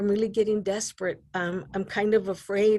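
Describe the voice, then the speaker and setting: At a moderate pace, a woman with a slight New Mexico accent speaks at a medium pitch. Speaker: advisory council member. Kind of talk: public meeting discussion. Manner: halting.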